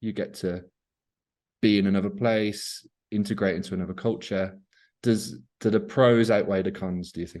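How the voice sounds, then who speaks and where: Speaking with a British accent, a man uses a fairly low pitch at a moderate pace. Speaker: English teacher. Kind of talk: casual conversation.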